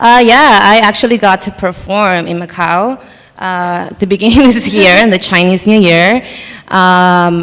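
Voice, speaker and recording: A woman talks at a moderate pace with a Spanish accent. Her pitch is medium. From Mexico City. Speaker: content creator and performer. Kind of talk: panel discussion.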